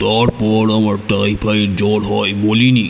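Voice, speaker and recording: A man puts on a character voice, fairly low and monotone with flat intonation, moving at a fairly slow pace over clear background noise. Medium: audio drama. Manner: earnest, emphatic storytelling.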